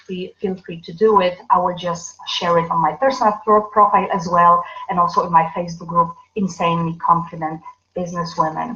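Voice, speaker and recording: A woman with a non-native accent. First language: not English. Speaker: business coach. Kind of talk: livestream talk. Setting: live video broadcast. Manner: halting, many fillers.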